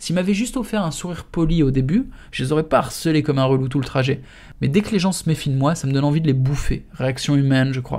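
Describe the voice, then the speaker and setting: Speaking at a very fast pace, a man with a fairly high pitch and ordinary pitch variation sounds somewhat breathy on a very clean recording with a silent background. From France. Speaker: author reading his own book. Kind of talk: audiobook reading. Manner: casual, slangy narration.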